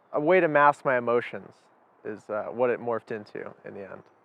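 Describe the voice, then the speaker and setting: A man speaks in a normal speaking voice at a medium pitch and moderate pace, with ordinary pitch variation. His loudness swings widely. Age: 20s. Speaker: former cannabis user interviewee. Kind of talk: interview testimony.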